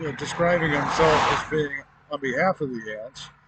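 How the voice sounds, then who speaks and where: Against noticeable background noise, a man with an American accent talks with ordinary pitch variation. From Miami, Florida. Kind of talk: spoken personal report to camera. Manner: hesitant, many filler pauses.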